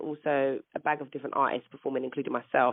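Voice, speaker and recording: A woman with a London accent speaks at a very deep, low pitch. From England. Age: 30s. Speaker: singer. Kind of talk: interview. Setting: phone call.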